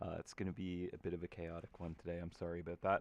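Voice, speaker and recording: The speaker mumbles at a very fast pace. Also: man, quiet background. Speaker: game artist hosting live stream. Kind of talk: casual live stream chat while painting. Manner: casual, filler-heavy; mumbling.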